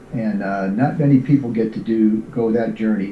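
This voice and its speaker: A man's medium-pitched voice with an American accent and ordinary pitch variation, over noticeable background noise. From New York. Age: 70s. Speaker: singer and retired military officer. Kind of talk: interview. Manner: halting with many fillers.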